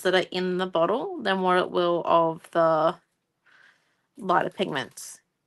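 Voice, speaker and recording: A woman with an Australian accent speaks at a fairly slow pace and medium pitch against a quiet background. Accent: Australian, moderate. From Australia, regional Queensland. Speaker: craft tutor. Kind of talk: livestream craft tutorial. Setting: live stream at night. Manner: casual, chatty.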